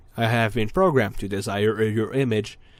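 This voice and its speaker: A man puts on a robotic character voice, speaking at a moderate pace. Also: medium pitch for a man. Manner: mechanical, flat.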